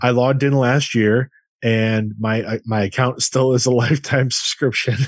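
With a plain, everyday voice, a man of medium pitch talks at a moderate pace with fairly even intonation over a quiet background. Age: 40s. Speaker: podcast co-host. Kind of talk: casual chat.

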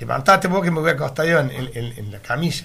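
There is vocal fry in a man's voice, which has ordinary pitch variation and audible room echo. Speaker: retired meat delivery worker. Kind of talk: radio interview, reminiscing. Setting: radio studio. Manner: halting, repetitive.

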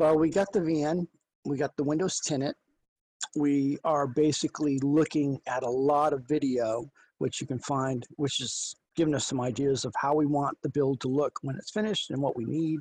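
With a normal speaking voice, a man talks at a moderate pace, his fairly high pitch showing ordinary variation, against a quiet background with a dry, close sound and no echo. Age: 50s. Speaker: podcast co-host. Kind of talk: casual chat.

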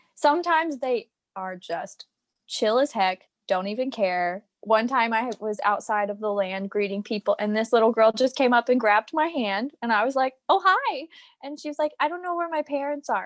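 With an American accent, a woman speaks in a high pitch with very wide pitch swings, recorded with a dry, close sound and no echo. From Virginia, US. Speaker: former theme park worker and performer. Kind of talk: casual interview.

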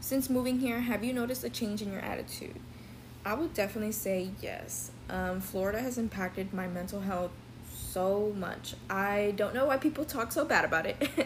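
A woman with an American accent speaks in an unremarkable speaking voice, at a moderate pace, with medium pitch and ordinary pitch variation. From Texas, Dallas. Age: 20s. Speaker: student podcast host and interviewer. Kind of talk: interview.

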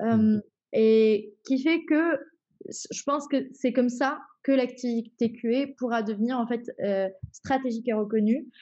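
A woman speaks at a very slow pace with long, frequent pauses, her high pitch carrying ordinary variation and a dark, mellow tone. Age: 20s. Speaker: head of quality assurance. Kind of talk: interview. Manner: hesitant, many fillers.

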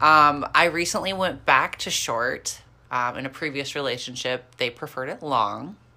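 With a slight Midwestern accent, a woman speaks at a moderate pace in a very deep, low voice with a bright, sharp tone and ordinary pitch variation, on a very clean recording with a silent background. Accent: slight Midwestern twang. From rural Kansas. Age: 20s. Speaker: fitness podcast co-host, figure competitor. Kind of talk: casual chat.

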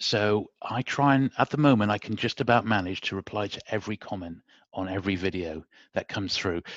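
Against a quiet background and with a dry, close sound with no echo, a man with a British accent speaks fairly quickly in a fairly low voice with ordinary pitch variation. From UK. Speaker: YouTuber. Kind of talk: casual interview chat. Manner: soft-spoken.

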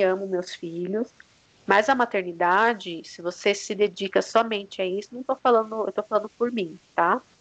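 In an unremarkable speaking voice, a woman talks at a moderate pace and medium pitch, her intonation fairly even but her loudness swinging widely. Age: 30s. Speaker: entrepreneur mother. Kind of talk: casual interview.

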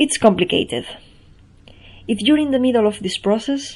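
A somewhat breathy voice with a Spanish accent and ordinary pitch variation. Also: woman. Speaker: poet and performance artist. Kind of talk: reading aloud.

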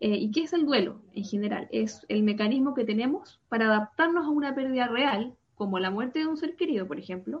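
A woman with a high pitch talks at a fairly quick pace. Her intonation is lively. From Chile, Santiago. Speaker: psychologist. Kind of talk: explanatory interview.

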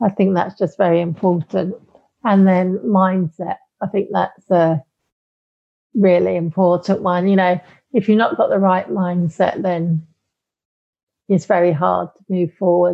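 In a British accent, a woman of medium pitch speaks at a fairly slow pace with fairly even intonation and long, frequent pauses. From UK. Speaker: life coach. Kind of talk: interview. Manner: hesitant, many fillers.

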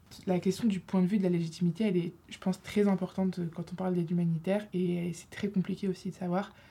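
Somewhat breathy and fairly quick, a woman speaks at medium pitch with a dark, mellow tone and monotone, flat intonation. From Lille, northern France. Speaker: university student, association treasurer. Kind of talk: casual debate. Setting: studio.

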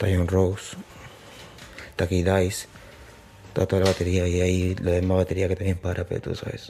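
This man's voice is very deep and low, with a dark, mellow tone. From Peru, Lima (Surquillo). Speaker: drill rapper. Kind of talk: casual interview.

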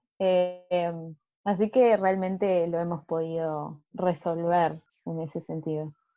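At a very slow pace, a woman speaks with a fairly low pitch and fairly even intonation. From Argentina. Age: 20s. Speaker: au pair, interior designer. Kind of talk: casual interview.

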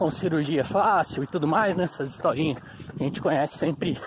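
With a fairly high pitch that varies in an ordinary way, a man talks at a moderate rate as background noise stays noticeable. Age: 30s. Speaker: amateur runner. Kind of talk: motivational monologue. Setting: outdoors.

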